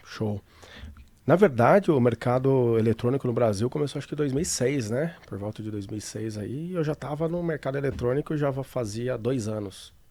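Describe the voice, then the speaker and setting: Moderate pace and ordinary pitch variation in a man's medium-pitched voice, its tone dark and mellow. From Brazil, São Paulo city. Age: 40s. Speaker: financial trader. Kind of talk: interview. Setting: studio.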